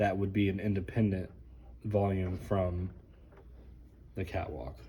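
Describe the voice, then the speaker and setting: A somewhat breathy man speaks at a fairly slow pace with a very deep, low pitch and ordinary pitch variation. Audible room echo is present. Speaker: sound technician. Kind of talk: tutorial. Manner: casual, conversational.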